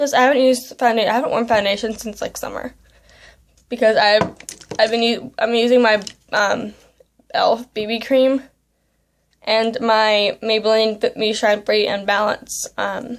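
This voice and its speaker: A woman with an American accent, fairly high-pitched, at a moderate pace with fairly even intonation and long, frequent pauses. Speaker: beauty vlogger. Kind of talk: makeup tutorial. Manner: casual, filler-heavy.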